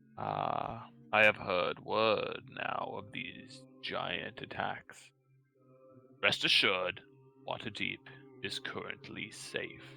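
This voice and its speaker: A put-on character voice speaks at a very slow pace with long, frequent pauses. Faint music plays in the background. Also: man. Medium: actual play. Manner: halting, stammering, pauses for breath.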